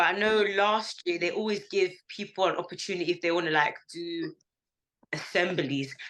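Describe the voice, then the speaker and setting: With a London accent, a woman of medium pitch speaks at a moderate pace with fairly even intonation. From North London. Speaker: school staff member. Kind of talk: interview. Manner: casual, hesitant.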